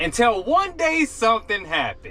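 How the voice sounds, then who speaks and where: A man speaks with music in the background. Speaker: gig delivery driver vlogger. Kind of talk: casual vlog talk to camera. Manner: normally fast-talking.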